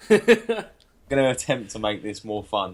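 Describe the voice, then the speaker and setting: A man with an English accent at a moderate pace. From England. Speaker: wrestling podcast co-host. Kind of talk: casual chat.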